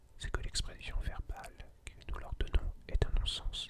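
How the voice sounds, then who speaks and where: Someone whispers in a calm tone at a moderate pace. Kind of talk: ASMR reading of a philosophy lecture. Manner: whispered; calm, relaxing.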